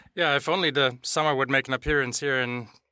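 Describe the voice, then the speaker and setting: A man with a German accent, bright and sharp in tone, in a dry, close sound with no echo on a very clean recording with a silent background. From Germany. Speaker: chief information security officer. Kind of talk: casual chat.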